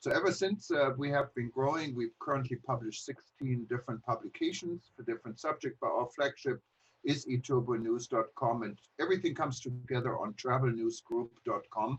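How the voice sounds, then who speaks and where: A man with a German accent talks at a fairly quick pace. His medium-pitched voice is somewhat breathy. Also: ordinary pitch variation. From Germany. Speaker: travel industry publisher. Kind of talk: presentation. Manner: hesitant, many fillers.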